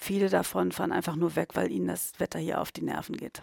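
A woman speaks at a fairly quick pace with vocal fry and a very deep, low pitch that swings very widely. The sound is dry and close, with no echo. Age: 50s. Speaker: tourism consultant. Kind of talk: coaching session.

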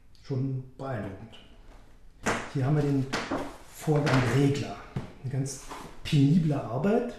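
At a very slow pace with long, frequent pauses, a man speaks at a fairly high pitch with ordinary pitch variation, over noticeable background noise and audible room echo. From West Berlin. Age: 50s. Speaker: management consultant, eyewitness in radio drama. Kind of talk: documentary narration. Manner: passionate, gripping storytelling.

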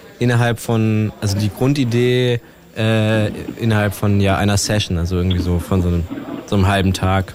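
Through noticeable background noise, a man talks at a moderate pace with ordinary pitch variation. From Brandenburg, Germany (Teltow near Berlin). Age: young. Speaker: rapper. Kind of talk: casual chat.

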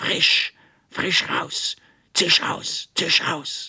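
A man puts on a character voice. It comes out raspy and hissing. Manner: hissed, mocking, spiteful.

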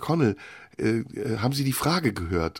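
Over a very clean recording with a silent background, a man with vocal fry speaks at a moderate pace, his pitch swinging very widely. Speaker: radio host. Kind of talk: casual chat.

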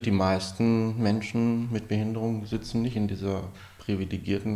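A man talks at a fairly slow pace with flat, monotone intonation. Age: 40s. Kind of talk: interview.

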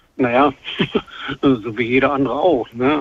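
A man with fairly even intonation and a medium pitch talks against noticeable background noise. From Brandenburg, Germany. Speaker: caller. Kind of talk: radio call-in conversation.

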